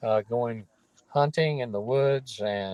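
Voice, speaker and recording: Speech in a North Carolina accent unfolds at a very slow pace, with a dry, close sound and no echo. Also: man. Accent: Southern US (North Carolina). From US South, North Carolina (Durham). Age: 70s. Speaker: retired lawyer, theory creator. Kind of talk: interview. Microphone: phone line, quality drops out.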